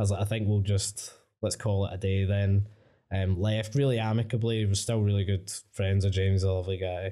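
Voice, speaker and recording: A man's fairly low, dark and mellow voice in a Glaswegian accent, monotone and flat, at a fairly quick pace with very even loudness, on a very clean recording with a silent background. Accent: Glaswegian Scottish. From Scotland, Coatbridge. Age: 30s. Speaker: creative agency founder. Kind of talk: casual interview. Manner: casual, sweary.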